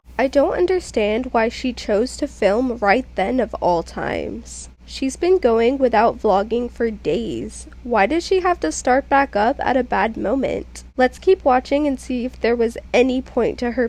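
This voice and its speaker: A woman talks at a fairly slow pace. Behind her, there is music in the background. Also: hardly any pauses. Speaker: commentary youtuber. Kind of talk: reaction commentary.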